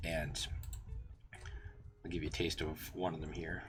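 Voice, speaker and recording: A man talks in a somewhat breathy voice. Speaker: game master streamer. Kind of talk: live stream tutorial. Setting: live stream with background music. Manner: hesitant, many fillers.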